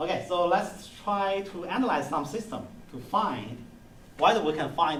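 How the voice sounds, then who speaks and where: A man talks with lively intonation over clear background noise, with the room's echo audible. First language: not English. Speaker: university lecturer. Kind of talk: lecture. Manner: halting.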